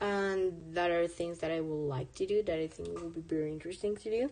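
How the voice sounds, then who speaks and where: With a dark, mellow tone, a woman speaks at a moderate pace and with ordinary pitch variation. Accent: Spanish. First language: Spanish. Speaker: artist streamer. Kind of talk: casual live stream chat while drawing. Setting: live stream. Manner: casual, halting with fillers.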